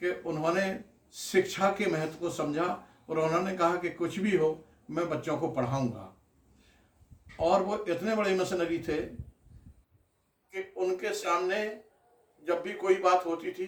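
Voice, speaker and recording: With long, frequent pauses, a man speaks at a high pitch and with fairly even intonation. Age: 60s. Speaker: doctor and political activist. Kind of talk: interview.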